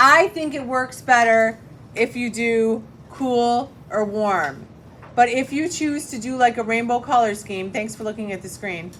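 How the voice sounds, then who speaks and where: Light background noise sits behind a woman with an ordinary speaking voice, pitched fairly high with ordinary pitch variation. Her loudness swings widely, and her pace is fairly slow. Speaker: middle school art teacher; art teacher. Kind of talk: classroom tutorial. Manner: casual. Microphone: phone near.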